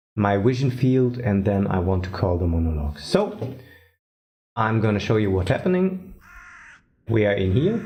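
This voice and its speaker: A man with a non-native accent speaks very slowly at a fairly low pitch, with ordinary pitch variation, a somewhat breathy, dark and mellow tone, and audible room echo. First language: not English. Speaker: indie game developer. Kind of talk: tutorial. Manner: halting, thinking aloud.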